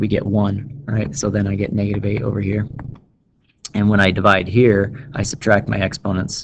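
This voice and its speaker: This man's voice sits fairly low. His intonation stays fairly even. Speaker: math teacher. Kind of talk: tutorial. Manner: fast; casual.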